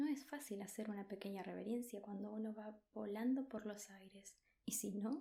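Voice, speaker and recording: A soft-spoken woman's somewhat breathy voice, fairly high in pitch, with fairly even intonation and a fairly slow pace. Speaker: ASMR creator. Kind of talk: soft-spoken ASMR book reading. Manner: soft-spoken, slow, relaxing.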